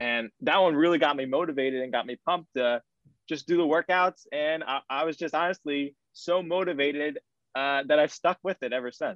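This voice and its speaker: An unremarkable speaking voice moves at a fairly quick pace. Its pitch varies in an ordinary way. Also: man, fairly high pitch for a man. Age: 20s. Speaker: college student. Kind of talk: casual chat.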